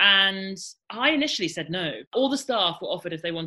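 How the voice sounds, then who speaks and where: A woman talks at a very fast pace in a bright, sharp tone. The recording is very clean, with a silent background. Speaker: journalist and author. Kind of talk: interview conversation. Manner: casual, chatty with fillers.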